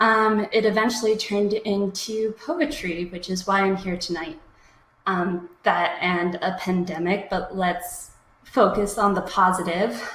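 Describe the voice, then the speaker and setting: An American accent at a fairly slow pace, ordinary pitch variation, and noticeable background noise. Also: woman, medium pitch for a woman. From US Midwest, Minnesota. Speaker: slam poet. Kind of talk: poetry performance. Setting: live stream.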